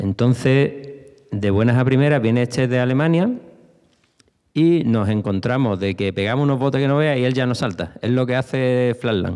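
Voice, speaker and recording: Against a quiet background, a man speaks at a moderate pace with very even loudness. His tone is dark and mellow, with ordinary pitch variation. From Spain. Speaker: former BMX rider; speaker. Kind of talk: panel talk. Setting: stage with audience. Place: hall. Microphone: handheld.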